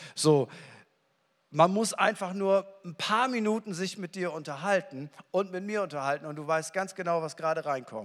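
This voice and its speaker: A high-pitched male voice, animated in tone, at a moderate pace with big swings in loudness. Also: ordinary pitch variation. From northern Germany. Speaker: pastor. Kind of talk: sermon. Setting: church.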